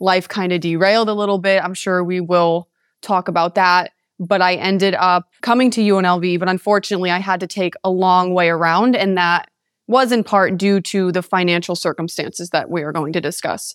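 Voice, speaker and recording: A woman with an ordinary speaking voice talks at a moderate pace and a medium pitch, with fairly even intonation. The recording is very clean, with a silent background and a dry, close sound with no echo. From Connecticut, US (East Haven). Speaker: mental health advocate. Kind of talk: podcast interview.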